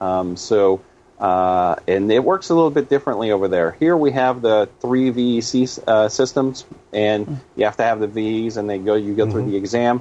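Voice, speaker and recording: With an ordinary speaking voice, a man talks at a fairly low pitch and moderate pace, his pitch varying in an ordinary way. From Canada. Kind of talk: casual chat.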